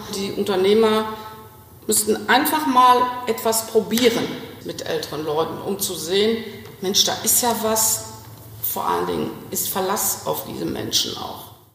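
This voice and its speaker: Amid noticeable background noise and audible room echo, a woman speaks at a fairly slow pace with long, frequent pauses. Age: 60s. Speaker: executive assistant. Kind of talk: phone interview.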